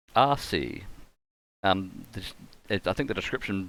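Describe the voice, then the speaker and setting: In a strong New Zealand accent, the speaker shows ordinary pitch variation on a very clean recording with a silent background. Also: man. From New Zealand, Canterbury (Rangiora). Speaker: game streamer. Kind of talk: live gaming commentary. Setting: live stream with webcam. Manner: casual, thinking aloud.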